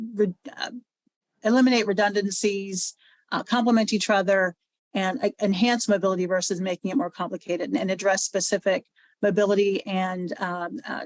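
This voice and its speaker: Recorded dry and close with no echo, a woman speaks at a fairly quick pace. Her pitch is medium, with ordinary variation. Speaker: transportation nonprofit director. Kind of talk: presentation. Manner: fast.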